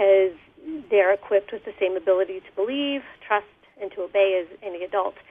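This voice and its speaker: A woman with an unremarkable speaking voice at a fairly quick pace. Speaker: youth leadership program coordinator. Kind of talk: radio interview. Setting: phone call.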